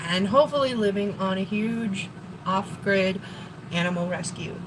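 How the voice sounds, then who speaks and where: A woman with an American accent speaks at a medium pitch and moderate pace with ordinary pitch variation, over noticeable background noise and audible room echo. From Wisconsin. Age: 40s. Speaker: live streamer. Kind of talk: casual live stream chat. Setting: home kitchen.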